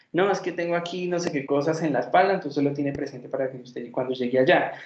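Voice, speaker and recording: A man speaks very fast at a fairly high pitch, with ordinary pitch variation. Audible room echo surrounds his voice. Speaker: psychology lecturer. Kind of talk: lecture.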